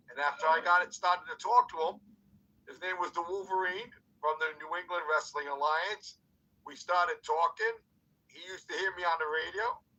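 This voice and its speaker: With an American accent, a man speaks at a high pitch in a bright, sharp tone, his loudness swinging widely. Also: fairly quick pace. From New York City, Cuban background. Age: 60s. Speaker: wrestler and former radio personality. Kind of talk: interview. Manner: talkative, animated.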